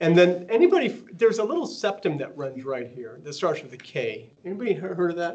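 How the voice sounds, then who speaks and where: In a room with audible echo, a man with an American accent talks very fast in a high voice, with very wide pitch swings and big swings in loudness. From US South. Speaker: radiology professor. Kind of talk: lecture.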